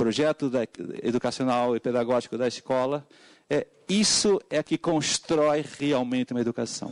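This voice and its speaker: Recorded with a dry, close sound, no echo and a quiet background, a man with a Portuguese accent talks at a moderate pace with ordinary pitch variation. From Portugal. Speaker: education speaker at a hearing. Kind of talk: public hearing testimony. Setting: legislative hearing room with wireless mic. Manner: halting, with frequent fillers.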